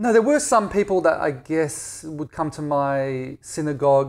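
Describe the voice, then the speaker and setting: In a very clean recording with a silent background, a man speaks with an Australian accent. His pace is moderate and his pitch varies in an ordinary way. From Australia, Perth. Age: 40s. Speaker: blogger and Israel advocate. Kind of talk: casual interview. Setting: at home.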